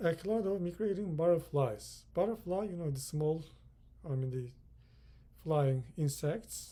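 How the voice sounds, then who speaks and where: Speaking with a Turkish accent, a man uses a fairly high, dark and mellow voice with lively intonation, moving at a fairly slow pace with long, frequent pauses. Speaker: English teacher. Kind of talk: lecture.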